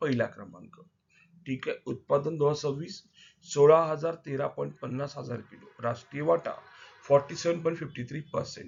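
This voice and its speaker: A man speaks in a fairly high voice. Vocal fry runs through his speech. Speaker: exam coaching teacher. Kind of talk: current affairs quiz lesson. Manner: repetitive, emphatic teaching.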